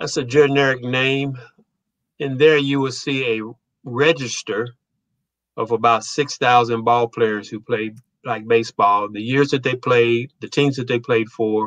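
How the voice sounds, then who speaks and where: A man speaks with an American accent. His pace is fairly slow and his intonation fairly even. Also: quiet background. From United States. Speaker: historian and author; guest. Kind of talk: casual interview. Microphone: video call.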